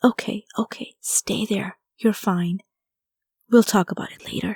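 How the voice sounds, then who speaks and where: In a very clean recording with a silent background and a dry, close sound with no echo, a woman whispers breathily in a put-on character voice at a moderate pace, with big swings in loudness. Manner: whispering, soft and breathy.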